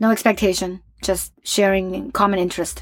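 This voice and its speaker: A woman is speaking at a moderate pace. She has an ordinary speaking voice. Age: 30s. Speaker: recruiter. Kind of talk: casual chat.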